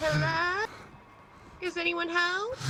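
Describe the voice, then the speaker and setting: The speaker uses a put-on character voice. Background noise is clearly present. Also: female-sounding voice, extremely high pitch for a woman. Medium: game stream. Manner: hesitant, stammering.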